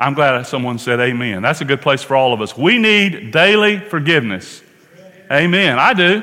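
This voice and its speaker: A man with an American accent speaks at a moderate pace, his pitch swinging very widely. Vocal fry runs through his voice, and the room echo is audible. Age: 60s. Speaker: pastor. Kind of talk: sermon.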